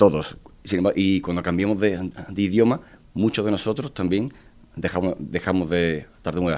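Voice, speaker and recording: This man has a very deep, low voice. He talks at a moderate pace with ordinary pitch variation. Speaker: person who stutters, advocacy foundation member. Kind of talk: radio interview. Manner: halting, with repetitions.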